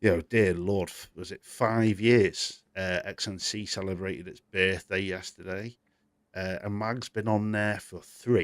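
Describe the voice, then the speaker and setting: With a British accent, a man speaks fairly slowly in a fairly low pitch and fairly even intonation, his loudness swinging widely on a very clean recording with a silent background. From Britain. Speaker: gaming news show host. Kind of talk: live stream chat. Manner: casual, conversational.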